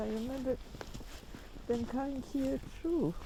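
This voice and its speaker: A high-pitched woman talks at a moderate pace while noticeable noise fills the background. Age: 70s. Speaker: Holocaust survivor. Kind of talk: testimony.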